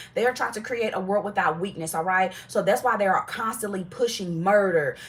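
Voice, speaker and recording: An animated woman speaks with ordinary pitch variation, noticeable background noise behind her. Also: medium pitch for a woman, fairly quick pace. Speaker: tarot reader. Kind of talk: live tarot reading. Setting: livestream. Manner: fast.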